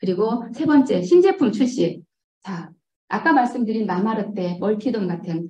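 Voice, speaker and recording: A woman speaks in a dark, mellow tone that is somewhat breathy. Her pace is moderate and her intonation lively. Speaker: network marketing distributor. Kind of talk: motivational business presentation. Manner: hesitant.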